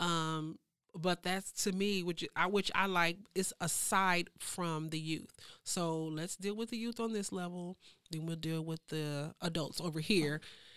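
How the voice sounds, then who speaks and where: A woman's fairly low-pitched voice, an ordinary speaking voice, at a fairly slow pace with fairly even intonation, in a very clean recording with a silent background. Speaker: program director at a local nonprofit. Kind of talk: casual podcast interview.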